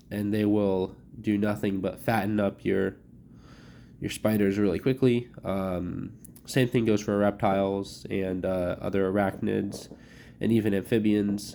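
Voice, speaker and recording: This man's fairly low voice has a dark, mellow tone and monotone, flat intonation, delivered at a fairly slow pace. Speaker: pet keeper tutorial creator. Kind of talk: tutorial. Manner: casual with many fillers.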